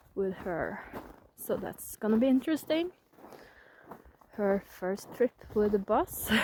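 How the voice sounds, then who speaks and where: Here a woman is speaking. Her pace is very slow. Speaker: witch, spiritual blogger. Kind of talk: casual vlog talk while walking. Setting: outdoors.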